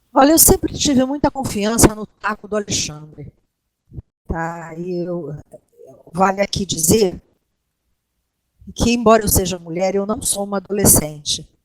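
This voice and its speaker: A woman's medium-pitched voice at a fairly slow pace, long, frequent pauses, and a dry, close sound with no echo. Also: lively intonation. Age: 60s. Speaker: guild co-leader, doctor and teacher. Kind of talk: interview. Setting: voice chat call.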